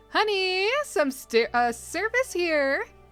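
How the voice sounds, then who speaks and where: Over faint music in the background, a woman puts on a character voice with an extremely high pitch and very wide pitch swings, speaking at a very slow pace. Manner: comedic, exaggerated.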